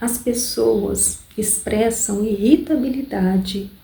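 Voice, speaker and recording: Soft-spoken and calm in tone, a woman talks at a medium pitch with ordinary pitch variation. Her pace is very slow. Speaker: ASMR reader. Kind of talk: audiobook-style reading for relaxation. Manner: soft-spoken, calm, slow.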